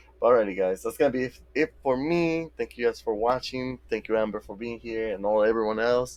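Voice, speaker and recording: A man's medium-pitched voice with a Mexican accent and ordinary pitch variation. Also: fairly quick pace. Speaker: video game streamer. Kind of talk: casual live-stream chat. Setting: live stream.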